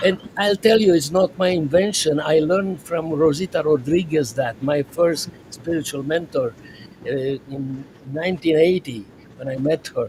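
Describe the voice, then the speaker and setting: A man's high-pitched voice at a fairly slow pace, over noticeable background noise. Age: 80s+. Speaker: psychiatrist. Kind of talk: podcast interview. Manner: halting.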